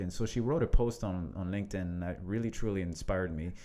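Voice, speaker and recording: Talking fairly quickly, a man speaks with a French accent. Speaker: leadership coach, podcast co-host. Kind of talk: casual conversational podcast.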